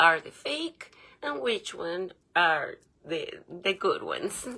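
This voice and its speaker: Very slowly, a woman speaks in a non-native accent. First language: not English. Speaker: conspiracy vlogger. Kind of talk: casual monologue vlog. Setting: home bedroom. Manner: animated; hesitant with filler sounds.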